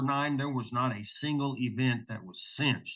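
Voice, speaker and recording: Against a quiet background, a man with an American accent uses a normal speaking voice at medium pitch, speaking at a moderate pace with ordinary pitch variation. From Oklahoma. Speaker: rodeo announcer. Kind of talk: interview answer.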